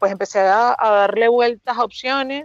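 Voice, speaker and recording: Against a quiet background, a woman speaks with fairly even intonation in a dry, close sound with no echo. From Venezuela, Margarita Island. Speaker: hospitality and wine promoter, former lawyer. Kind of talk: casual interview. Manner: fast.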